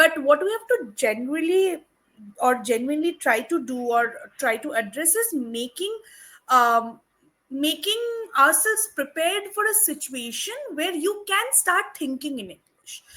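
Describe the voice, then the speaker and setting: A raised, projected voice with a bright, sharp tone, very wide pitch swings and big swings in loudness at a moderate pace. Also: woman, high pitch for a woman. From India, Kolkata. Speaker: English teacher. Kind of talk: tutorial.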